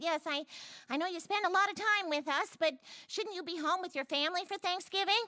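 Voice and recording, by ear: A woman's squeaky, cartoonish character voice at an extremely high pitch, with ordinary pitch variation and a fairly quick pace.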